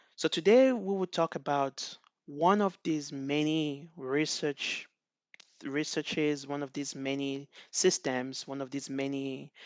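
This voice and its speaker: Speech comes with a Nigerian accent at a fairly slow pace and with fairly even intonation. The background is quiet. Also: man, fairly high pitch for a man, dry, close sound with no echo. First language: Igbo. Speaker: NLP researcher. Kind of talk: conference talk. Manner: halting, with many fillers.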